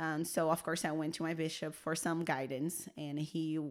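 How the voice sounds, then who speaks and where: In a very clean recording with a silent background, a woman with a very deep, low pitch talks at a moderate pace in a monotone, flat intonation. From Brazil. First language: Portuguese. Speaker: church media worker sharing her personal story. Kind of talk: interview testimony.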